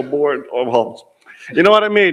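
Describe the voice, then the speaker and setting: The speech has lively intonation and a moderate pace. Room echo is audible. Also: man. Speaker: student association volunteer. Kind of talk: thank-you speech at conference plenary. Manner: rambling, hesitant.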